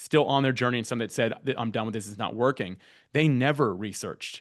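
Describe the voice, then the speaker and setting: Against a quiet background, a man speaks at medium pitch with ordinary pitch variation. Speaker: podcast guest-matching platform founder. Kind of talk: workshop talk. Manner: loud and fast; stumbles over words.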